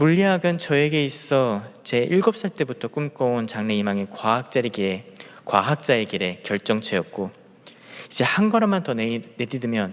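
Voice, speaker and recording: Over noticeable background noise, a man at medium pitch talks at a moderate pace with lively intonation. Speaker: junior pastor. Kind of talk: sermon. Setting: church, early morning prayer service. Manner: halting, with self-corrections and repeated words.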